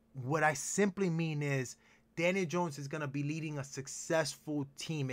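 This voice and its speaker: In a very clean recording with a silent background, a man with a Spanish accent speaks in an animated tone. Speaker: sports podcast host. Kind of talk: casual sports talk chat.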